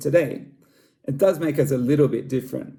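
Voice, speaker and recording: A man speaks with an Australian accent. His tone is dark and mellow. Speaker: school staff member. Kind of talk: scripted presentation.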